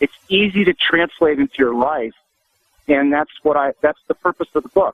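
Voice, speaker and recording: An ordinary speaking voice from a man, fairly high-pitched, with ordinary pitch variation, very even loudness and a moderate pace. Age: 60s. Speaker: physician and author. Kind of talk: radio interview.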